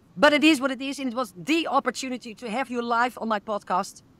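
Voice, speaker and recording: Fairly high in pitch and fairly quick in pace, a woman speaks in a dry, close recording with no echo, very clean, over a silent background. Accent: Dutch. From Netherlands. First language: Dutch. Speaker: podcast host. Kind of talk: interview.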